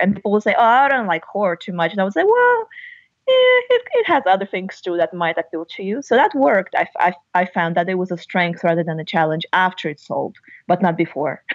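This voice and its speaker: Speaking at a very fast pace, a woman with a Russian accent holds a medium pitch. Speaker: novelist and university lecturer. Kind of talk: interview.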